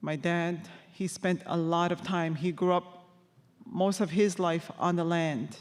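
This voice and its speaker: With a Quebec accent, the speaker talks at a fairly slow pace. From Labrador, Canada (Innu community). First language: Innu-aimun. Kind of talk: testimony. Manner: halting.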